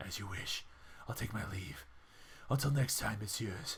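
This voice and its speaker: A man puts on a character voice, pitched fairly low. He keeps a moderate pace. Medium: game stream. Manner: formal, stiff.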